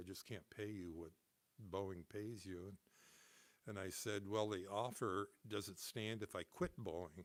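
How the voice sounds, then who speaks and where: Ordinary pitch variation marks this man's speech, pitched fairly low. He talks with a Pacific Northwest accent. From Seattle, Washington. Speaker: musician, music store owner. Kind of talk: interview answer.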